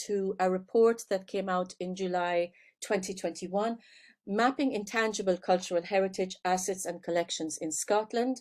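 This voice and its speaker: A woman with an Irish accent speaks at a moderate pace, her pitch varying in an ordinary way. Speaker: professor. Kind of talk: lecture. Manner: hesitant fillers.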